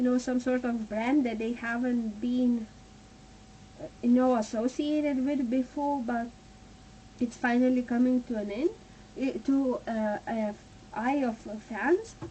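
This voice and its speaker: Speaking at a fairly slow pace with long, frequent pauses, a woman with a high pitch and a non-native accent keeps a fairly even intonation. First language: not English. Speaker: tarot reader. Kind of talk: tarot reading. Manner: halting.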